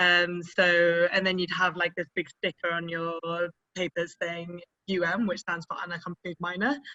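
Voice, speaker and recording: This woman has a British accent and a fairly low pitch. She talks at a moderate pace in a flat, monotone way. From UK. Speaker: cycle tour participant. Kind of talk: interview.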